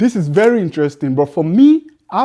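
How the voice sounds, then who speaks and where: The speaker has an animated tone and an African accent, talking at a moderate pace. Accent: African immigrant accent, mocked by others. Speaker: social commentator. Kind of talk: casual monologue.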